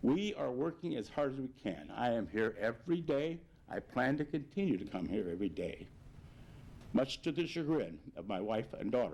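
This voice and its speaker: At a moderate pace, a man with vocal fry talks at a medium pitch, his voice swinging very widely up and down. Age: 70s. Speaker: mayor. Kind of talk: public address. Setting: video broadcast.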